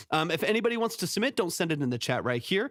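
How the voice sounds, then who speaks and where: The speech moves at a very fast pace. The sound is dry and close with no echo, and the recording is very clean with a silent background. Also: man. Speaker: music producer and mix engineer. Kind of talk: livestream feedback chat. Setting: live stream. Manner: filler-heavy.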